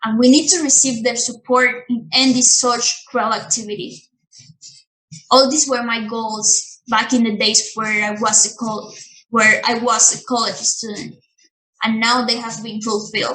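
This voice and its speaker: With a plain, everyday voice, a woman speaks fairly slowly at a fairly high pitch and with fairly even intonation. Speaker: performer of a monologue written in the voice of an activist. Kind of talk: social justice monologue.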